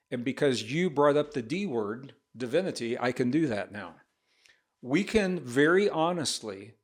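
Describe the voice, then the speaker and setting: A man with a Midwestern American accent, fairly high pitch, lively intonation and a moderate pace, on a very clean recording with a silent background. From US Midwest, rural northern Missouri. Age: 70s. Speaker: author and speaker on science and spirituality. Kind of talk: podcast interview.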